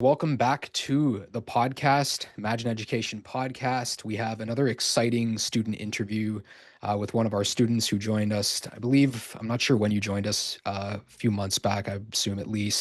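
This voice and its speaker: A man with a Canadian accent has an unremarkable speaking voice at a medium pitch. He talks at a moderate pace with fairly even intonation and hardly any pauses. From Canada. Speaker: podcast host. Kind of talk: interview. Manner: casual, filler-heavy.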